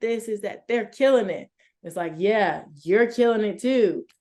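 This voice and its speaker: Set against a quiet background, a woman speaks with an American accent at a moderate pace. Her dark, mellow tone carries ordinary pitch variation. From Chicago, US Midwest. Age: 20s. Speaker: sports media host and reporter. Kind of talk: interview.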